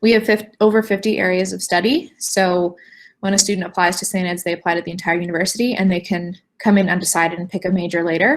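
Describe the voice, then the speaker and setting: A woman's normal speaking voice at medium pitch, fairly quick, with ordinary pitch variation on a very clean recording with a silent background. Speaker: university admissions representative. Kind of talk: admissions presentation.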